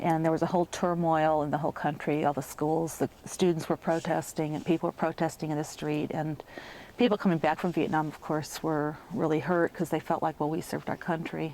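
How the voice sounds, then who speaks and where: A fairly quick, monotone delivery with flat intonation, a dark, mellow tone and an American accent. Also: woman, very deep, low pitch for a woman. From Chicago, Illinois. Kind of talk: interview answer.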